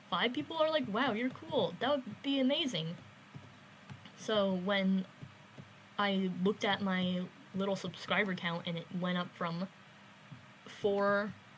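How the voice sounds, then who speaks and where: A woman's medium-pitched, somewhat breathy voice with lively intonation and long, frequent pauses. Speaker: gaming YouTuber. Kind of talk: casual gameplay commentary. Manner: halting, many fillers.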